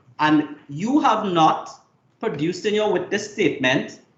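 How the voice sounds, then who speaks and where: Fairly slow, a man's speech makes very wide pitch swings amid audible room echo. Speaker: lawyer cross-examining a witness. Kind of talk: cross-examination at a hearing.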